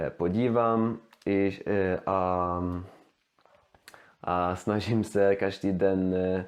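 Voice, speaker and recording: Speaking with a Swedish accent, this man has a very deep, low pitch and fairly even intonation. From Sweden. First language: Swedish (speaking Czech). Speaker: language learner, youtuber. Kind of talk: language demonstration monologue. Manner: halting, many fillers and restarts.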